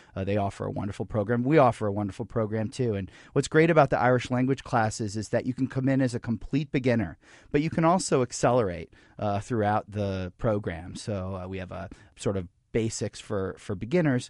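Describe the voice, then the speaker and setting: With a plain, everyday voice, a man talks at a fairly quick pace in a medium pitch with lively intonation. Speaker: arts center director. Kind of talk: radio interview. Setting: studio.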